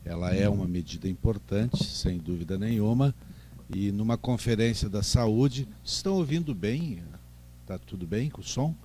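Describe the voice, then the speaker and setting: This man has an unremarkable speaking voice at a fairly low pitch. His intonation is lively and his pace moderate. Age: 60s. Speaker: doctor, gynecologist. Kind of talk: lecture.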